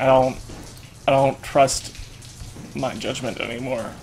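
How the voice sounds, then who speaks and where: Over noticeable background noise, a man speaks at medium pitch. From Canada. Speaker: gaming YouTuber. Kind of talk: let's play commentary. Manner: animated.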